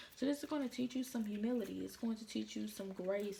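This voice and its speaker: Woman's fairly high voice at a fairly quick pace, over noticeable background noise. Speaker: tarot card reader. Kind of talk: tarot reading. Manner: casual, informal; quiet, subdued tonight.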